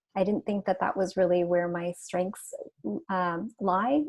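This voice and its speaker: She has an ordinary speaking voice with medium pitch and ordinary pitch variation. The woman's pace is fairly quick. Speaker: policy consultant. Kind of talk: panel discussion.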